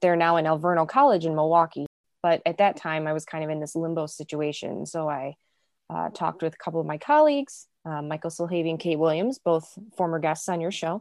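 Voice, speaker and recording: Against a quiet background, a woman talks at a fairly quick pace. Her pitch is fairly low and her intonation fairly even. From US Midwest, south suburbs of Chicago. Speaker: music publishing managing editor. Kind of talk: casual interview.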